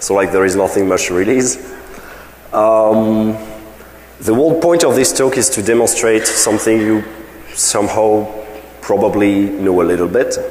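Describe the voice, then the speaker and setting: This man has a fairly low voice, moderate pace, very even loudness and long, frequent pauses. The recording carries audible room echo and noticeable background noise. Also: ordinary pitch variation. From France. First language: French. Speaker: security researcher. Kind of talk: conference talk. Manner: hesitant, many fillers.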